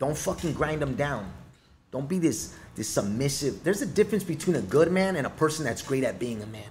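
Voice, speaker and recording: A man at a fairly quick pace, fairly high in pitch, with an animated tone, lively intonation and a somewhat breathy sound. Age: 30s. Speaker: musician and recovering addict sharing his story. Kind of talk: casual chat. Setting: studio.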